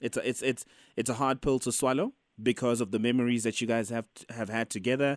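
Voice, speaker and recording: A man talks at a very fast pace with a medium pitch. His pitch varies in an ordinary way, and the sound is dry and close with no echo. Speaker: radio host. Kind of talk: radio call-in advice show. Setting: studio.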